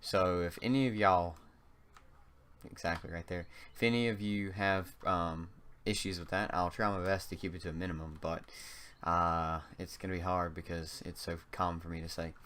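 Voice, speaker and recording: In a very deep, low voice, a man talks at a moderate pace with fairly even intonation. He has a slight North Carolina accent. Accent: slight North Carolina Southern. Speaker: gaming YouTuber. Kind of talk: gameplay commentary. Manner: hesitant, frequent um and uh fillers.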